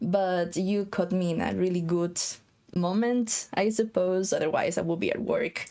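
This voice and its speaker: A woman's medium-pitched voice with a slight Spanish accent, moderate pace, very even loudness and fairly even intonation. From Costa Rica. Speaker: game housing designer. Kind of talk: casual chat.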